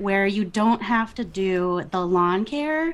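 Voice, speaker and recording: A woman speaks with a Minnesota accent. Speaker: podcast guest.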